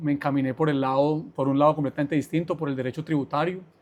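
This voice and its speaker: A man's very fast, fairly high-pitched delivery in a monotone, flat intonation. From Colombia, Armenia, Quindío. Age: 40s. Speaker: business executive, lawyer. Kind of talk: podcast interview.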